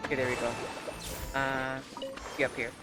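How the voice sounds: The pitch barely moves. Music plays clearly in the background, and the pace is moderate.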